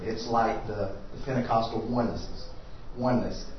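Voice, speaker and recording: A man speaks with ordinary pitch variation, with audible room echo and noticeable background noise. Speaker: church class teacher. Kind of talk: lecture.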